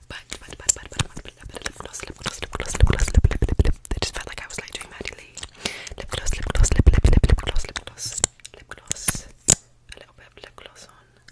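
The speaker is whispering. The pace is fairly quick. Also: woman. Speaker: ASMR creator. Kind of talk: whispered casual vlog chat. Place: home room. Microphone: studio mic.

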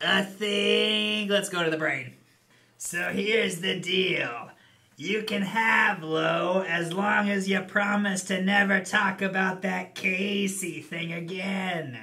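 A man's put-on character voice, high-pitched, raised and projected, with fairly even intonation at a fairly slow pace

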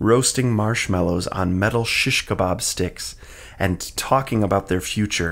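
The speaker uses an unforced reading voice. The pitch varies in an ordinary way.

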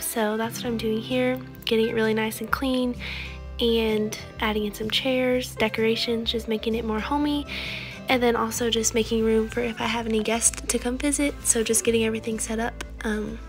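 Clear music plays in the background. Over it, a woman speaks with fairly even intonation. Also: moderate pace. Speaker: vlogger. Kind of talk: casual vlog chat.

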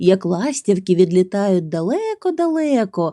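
The voice reads in an unforced way. That manner holds from start to finish.

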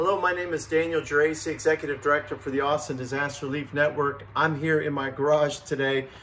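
Over light background noise, a man talks at a very fast pace with hardly any pauses and a monotone, flat intonation. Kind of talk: appeal to viewers. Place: garage. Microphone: phone near.

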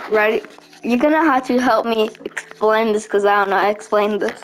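A woman mumbles at a moderate pace in a fairly high pitch, her loudness very even, with noticeable background noise. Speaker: gaming video creator. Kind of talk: gameplay commentary. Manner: mumbling; animated.

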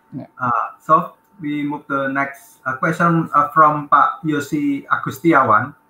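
Audible room echo carries a voice at a fairly slow pace with monotone, flat intonation. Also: man. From Indonesia. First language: Indonesian. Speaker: conference moderator. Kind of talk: moderating a session. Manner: halting. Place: office. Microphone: video call.

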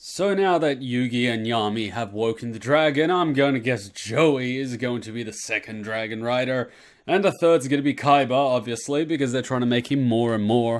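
The speech moves at a moderate pace with ordinary pitch variation in a quiet background. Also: man. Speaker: anime reaction commentator. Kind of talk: casual vlog chat. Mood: joking, sarcastic. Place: home room. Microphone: studio mic.

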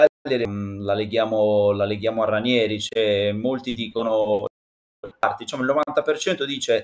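A man at a medium pitch, fairly slow, with fairly even intonation. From Sardinia. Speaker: former football press officer, pundit; pundit. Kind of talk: casual chat.

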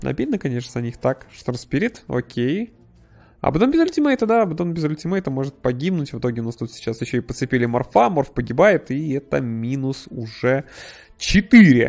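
This man's voice sits at a fairly high pitch and moves with lively intonation. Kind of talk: esports match commentary. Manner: fast, animated play-by-play, reacting excitedly to fights; casual, conversational, with sarcastic asides.

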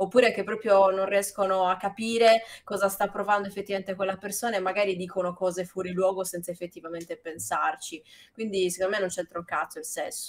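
A woman talks at a very fast pace. Her intonation is monotone and flat. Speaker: streamer. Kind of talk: reading aloud. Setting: live stream. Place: home room.

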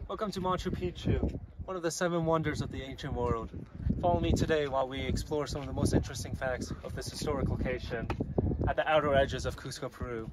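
A man's very fast delivery with ordinary pitch variation, dry with no echo, under loud background noise. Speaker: documentary narrator. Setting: outdoors on location at the site. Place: open country. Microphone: phone near.

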